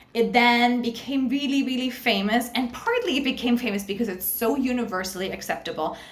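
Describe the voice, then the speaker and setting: A woman with a fairly high pitch and ordinary pitch variation speaks in an animated tone. Audible room echo and noticeable background noise fill the recording. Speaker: university lecturer. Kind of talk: recorded online lecture. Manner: fast.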